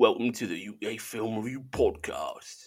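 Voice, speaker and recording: A man does a raspy, put-on character voice in a Cockney accent at a fairly slow pace. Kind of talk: podcast host intro. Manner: attempted, uncertain.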